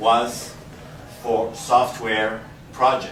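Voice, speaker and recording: A man speaks with a Quebec accent. Noticeable background noise and audible room echo fill the recording. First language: French. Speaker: investment structuring specialist. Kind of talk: presentation to audience.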